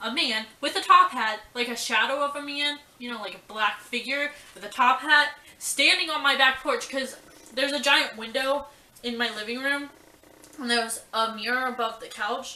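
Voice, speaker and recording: A raised, projected voice swings widely in loudness amid audible room echo and noticeable background noise. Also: woman, high pitch for a woman, ordinary pitch variation, moderate pace. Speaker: vlogger. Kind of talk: casual storytelling vlog. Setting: at home. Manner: animated.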